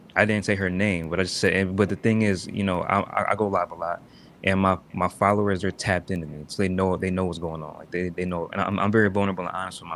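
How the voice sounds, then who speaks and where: A man with a very deep, low pitch talks at a very fast pace in monotone, flat intonation. It is a very clean recording with a silent background. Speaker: live streamer. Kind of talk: casual chat. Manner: soft-spoken.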